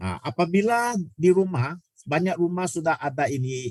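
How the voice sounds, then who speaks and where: A somewhat breathy man at a fairly high pitch with very wide pitch swings, a moderate pace, and a dry, close sound with no echo. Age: 60s. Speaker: product presenter. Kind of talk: sales pitch. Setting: video call. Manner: halting.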